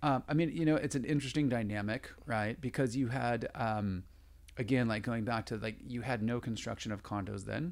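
A man with an American accent has an unremarkable speaking voice at medium pitch with ordinary pitch variation. He talks at a fairly quick pace on a very clean recording with a silent background. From San Diego, California. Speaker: real estate agent. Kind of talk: interview.

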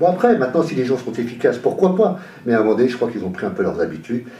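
Room echo and noticeable background noise surround a man's voice. He talks at a very fast pace with very wide pitch swings. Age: 50s. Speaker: local election candidate. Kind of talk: radio interview. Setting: radio studio, live.

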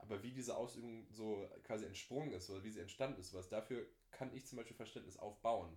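A man talks at a very fast pace in a fairly low pitch. His voice is somewhat breathy, with ordinary pitch variation. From Germany, East Westphalia. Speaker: podcast guest. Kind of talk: casual chat.

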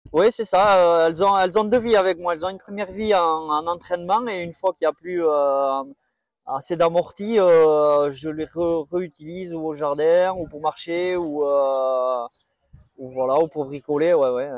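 A man talks fairly slowly in a high voice, his pitch varying in an ordinary way. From French Basque Country, near Bayonne. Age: 40s. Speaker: nursing assistant and amateur runner. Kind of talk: casual interview. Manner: hesitant, many filler words.

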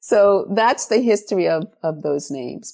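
A woman's ordinary speaking voice in an American accent, with lively intonation, a moderate pace, and a very clean recording over a silent background. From New York City (South Bronx). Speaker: professor of education. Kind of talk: interview.

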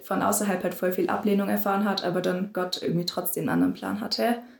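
The speech moves at a fairly quick pace. Vocal fry runs through it. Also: woman. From southern Germany, near Stuttgart. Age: young. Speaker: volunteer after school. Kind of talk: casual interview.

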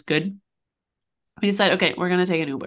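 A woman with a plain, everyday voice at a medium pitch, ordinary pitch variation, over a quiet background. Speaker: podcast co-host. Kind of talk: casual chat. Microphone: new microphone.

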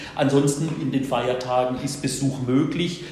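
A man with a medium pitch talks at a moderate pace, with audible room echo and noticeable background noise. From Baden-Württemberg, Germany (Bruchsal). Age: 50s. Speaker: prison chaplain. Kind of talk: interview. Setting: prison.

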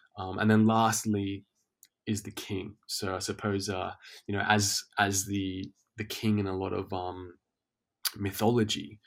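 In a very clean recording with a silent background, a man with an Australian accent speaks at a fairly low pitch and a fairly slow pace in a monotone, flat intonation. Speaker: teacher and men's health advocate. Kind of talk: casual interview chat.

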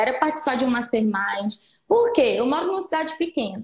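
Lively intonation marks this woman's high-pitched speech. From Minas Gerais, Brazil (Patos de Minas). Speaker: nutritionist. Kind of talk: interview on a live stream. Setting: online live stream. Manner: animated.

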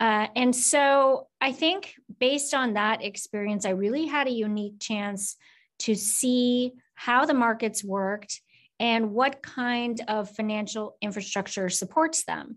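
In a quiet background, a woman with a normal speaking voice talks at a fairly slow pace, her fairly high pitch showing ordinary pitch variation. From US Midwest, Minnesota. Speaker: finance academic and former government official. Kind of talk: interview.

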